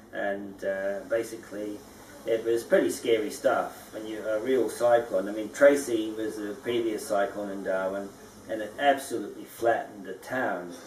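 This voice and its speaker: A man at a moderate pace, fairly low in pitch, fairly even in intonation, with big swings in loudness and audible room echo. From Scotland, emigrated to New Zealand at 14. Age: 50s. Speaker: dome house builder. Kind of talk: interview. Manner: halting, many fillers.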